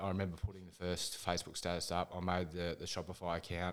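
A man's very deep, low voice in an Australian accent, fairly quick in pace, on a very clean recording with a silent background. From Ballarat, Victoria, Australia. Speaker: mental health charity founder. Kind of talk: interview testimony.

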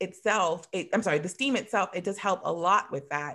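Here a woman speaks with lively intonation. The recording is very clean, with a silent background. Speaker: wellness vendor, yoni steaming. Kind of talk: casual interview. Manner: fast talker.

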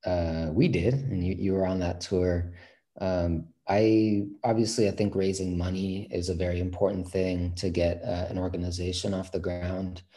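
A man with a Californian accent, a very deep, low pitch, a dark, mellow tone, a somewhat breathy voice and monotone, flat intonation. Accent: Californian American. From San Francisco Bay Area. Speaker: reggae band musician, singer. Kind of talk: casual interview.

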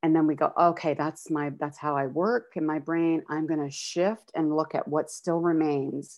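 A woman with a Canadian accent, very deep and low-pitched, with fairly even intonation, a moderate pace and hardly any pauses. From Calgary, Alberta, Canada. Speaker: nurse educator and wellness consultant. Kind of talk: interview conversation.

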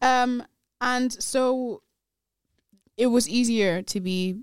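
A woman speaks with a slight Nigerian accent and ordinary pitch variation. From Nigeria, Kogi State. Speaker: guest. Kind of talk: casual chat. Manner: animated.

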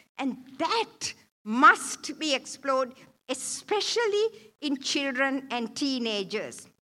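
A woman speaks very slowly in a raised, projected voice with a bright, sharp tone. Her pitch swings very widely. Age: 70s. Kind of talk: church talk. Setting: church.

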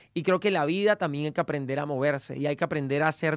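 On a very clean recording with a silent background, a man talks at a very fast pace in an energetic tone, the sound dry and close with no echo. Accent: Venezuelan. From Venezuela. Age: 30s. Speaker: podcast host and entrepreneur. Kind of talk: motivational monologue.

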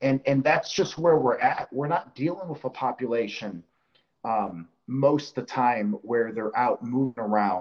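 Here a man with an unremarkable speaking voice talks at a medium pitch and moderate pace. His intonation is lively. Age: 40s. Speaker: grip strongman. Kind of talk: casual chat.

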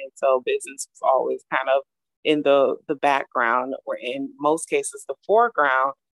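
A woman talks at a moderate pace with big swings in loudness, in a dry, close sound with no echo. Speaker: shoe designer and business founder. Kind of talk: casual interview chat. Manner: animated, giddy.

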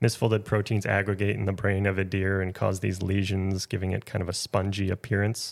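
Fairly quick and monotone, a man with an American accent speaks in a fairly low pitch with flat intonation, in a very clean recording with a silent background. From Minnesota. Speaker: wildlife biologist. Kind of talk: casual interview. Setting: at home.

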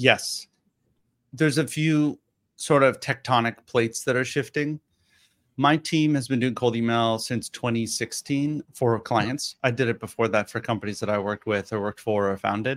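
A man's plain, everyday voice, medium in pitch, with ordinary pitch variation and a moderate pace. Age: late 30s. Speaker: startup CEO. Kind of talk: webinar interview.

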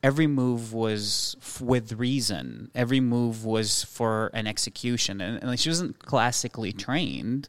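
On a very clean recording with a silent background, a man talks in a plain, everyday voice. His pitch is medium, his intonation fairly even and his pace fairly slow. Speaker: chef and restaurateur. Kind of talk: casual chat.

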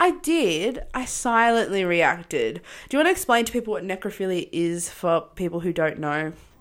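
On a very clean recording with a silent background, a woman of medium pitch speaks at a moderate pace in an Australian accent with lively intonation. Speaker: podcast co-host. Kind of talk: casual chat. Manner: loud.

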